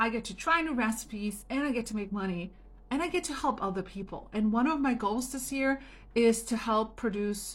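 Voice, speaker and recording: A somewhat breathy woman with a fairly high pitch, lively intonation and a fairly quick pace. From Germany. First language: German or Italian. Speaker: home business coach. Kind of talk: motivational talk to camera. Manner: casual, chatty.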